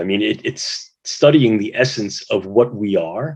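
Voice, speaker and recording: This is a normal speaking voice from a man with an American accent. He speaks at a fairly slow pace with ordinary pitch variation. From US, New York City. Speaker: neuroscience researcher, moderator. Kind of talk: moderated video-call discussion.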